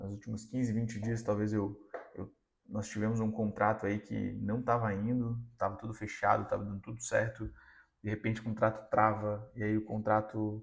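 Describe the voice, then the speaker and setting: This man talks at a moderate pace with a fairly low pitch and a monotone, flat intonation. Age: 20s. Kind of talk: motivational sermon-style talk. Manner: casual, conversational.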